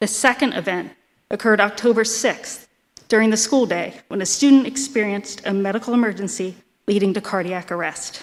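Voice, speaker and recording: A woman speaks at a fairly quick pace in a fairly high voice, with ordinary pitch variation. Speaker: school nurse. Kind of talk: prepared speech at public meeting. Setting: school board meeting. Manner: fast.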